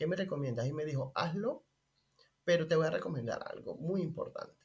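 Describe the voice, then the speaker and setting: Here a man with a high pitch speaks with ordinary pitch variation. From Venezuela, Maracay. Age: 30s. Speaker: restaurant owner. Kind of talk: interview.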